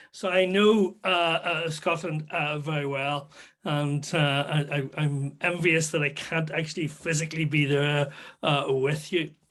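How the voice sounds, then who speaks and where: In a Northern Irish accent, a man with a fairly high pitch speaks at a fairly slow pace with fairly even intonation. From Northern Ireland, near Belfast. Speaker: solar physicist, guest lecturer. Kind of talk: public science talk. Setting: video call. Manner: halting, many fillers.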